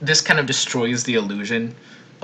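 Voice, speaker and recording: Over noticeable background noise, a man speaks fairly quickly in a fairly low voice. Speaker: video editor. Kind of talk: editor commentary on editing process. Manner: stuttering, tripping over words.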